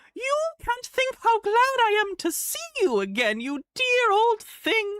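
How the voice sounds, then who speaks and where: At a fairly slow pace, a put-on character voice comes out shrill. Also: female-sounding voice, extremely high pitch for a woman. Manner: weird and affected.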